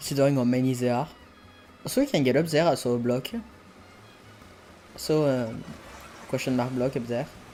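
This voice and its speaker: Speech at a fairly quick pace is broken by long, frequent pauses, with music in the background. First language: not English. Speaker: video game streamer. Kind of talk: live gameplay commentary. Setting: live stream. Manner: hesitant, self-correcting.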